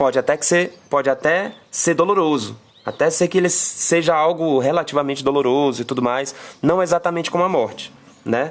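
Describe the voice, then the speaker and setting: Speaking at a moderate pace, a man has a fairly high pitch with ordinary pitch variation. His loudness stays very even. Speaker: tarot reader. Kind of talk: live stream tarot reading. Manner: halting, many fillers and repeats.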